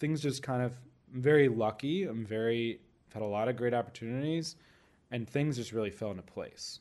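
In an ordinary speaking voice, a man talks with ordinary pitch variation at a medium pitch and a moderate pace. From Florida, US. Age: 30s. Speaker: chef. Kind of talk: interview.

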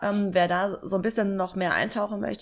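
A woman speaks at a very fast pace with medium pitch and fairly even intonation, in a very clean recording with a silent background. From southern Germany, Lake Constance. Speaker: job application coach. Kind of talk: interview.

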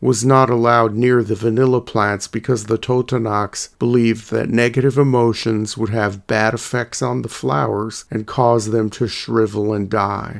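This man has a plain, everyday voice at a medium pitch, with fairly even intonation. He talks at a fairly slow pace with hardly any pauses, on a very clean recording with a silent background. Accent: American. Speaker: podcast host. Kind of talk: history documentary narration. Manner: measured, steady, formal; clear, informative, scripted-sounding.

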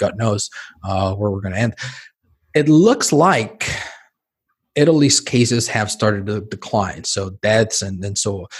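Somewhat breathy, the speech goes at a moderate pace and shows ordinary pitch variation. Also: man. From Mexico City. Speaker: physician. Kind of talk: interview conversation. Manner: repetitive, stammering restarts.

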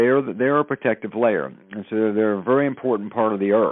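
A man with a Southern US accent, medium pitch, ordinary pitch variation and a moderate pace. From US South. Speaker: spokesperson for a science-based consciousness initiative. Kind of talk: interview.

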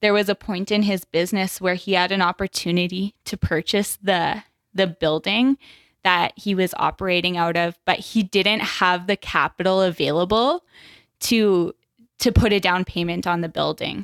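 A woman talks in a Canadian prairie accent. Her intonation stays fairly even. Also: medium pitch for a woman, moderate pace, very clean recording, silent background. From Saskatchewan, Canada. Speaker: business development specialist. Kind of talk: podcast interview.

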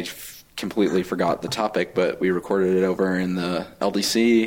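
With an American accent, a man talks at a fairly quick pace in a normal speaking voice, his fairly low pitch carrying fairly even intonation. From Colorado. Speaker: chat room moderator. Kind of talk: casual chat.

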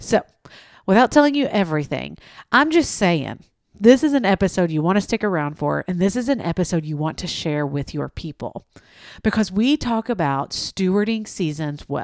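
A woman with an East Tennessee accent speaks at a moderate pace and medium pitch, animated and with very wide pitch swings. The sound is dry and close with no echo, in a very clean recording with a silent background. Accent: Southern US (East Tennessee). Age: 30s. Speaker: podcast host. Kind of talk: casual interview chat. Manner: animated, chatty, self-deprecating.

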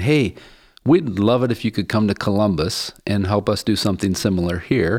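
In a normal speaking voice with an American accent, a man talks at a fairly quick pace and fairly low pitch on a very clean recording with a silent background. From US, West Virginia (Appalachia). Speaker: social enterprise CEO. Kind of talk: interview.

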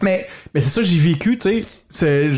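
Lively in intonation, a man speaks at a fairly high pitch in a normal speaking voice. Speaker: podcast host. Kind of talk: casual chat. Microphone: some echo from the room.

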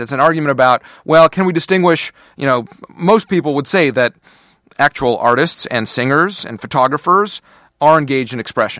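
At a fairly high pitch, a man speaks fairly quickly with a bright, sharp tone and very wide pitch swings. The sound is dry and close with no echo against a quiet background. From Russia (Moscow), raised partly in Canada. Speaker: constitutional law scholar at a think tank. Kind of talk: casual interview chat.

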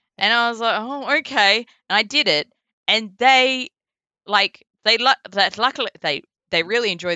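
Her intonation is lively. This woman has a strong Australian accent. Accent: broad Australian. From Perth, Western Australia. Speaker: voice actor. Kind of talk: casual interview. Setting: remote call across time zones. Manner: casual, laughs often.

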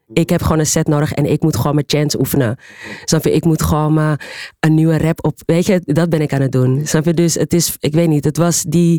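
A woman's very deep, low voice with a dark, mellow tone, fairly even intonation, very even loudness and a fairly quick pace, in a dry, close sound with no echo. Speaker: club and ballroom scene figure. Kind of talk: panel discussion.

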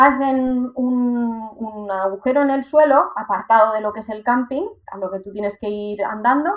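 A woman's fairly high pitch in a plain, everyday voice, with ordinary pitch variation and big swings in loudness. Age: 30s. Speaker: van-life traveller and cycle tourist. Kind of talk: interview.

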